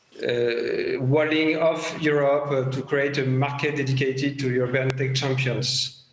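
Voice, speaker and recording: A fairly high male voice with a French accent at a fairly slow pace, amid noticeable background noise and audible room echo. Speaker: former government tech official, panelist. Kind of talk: panel discussion. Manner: halting.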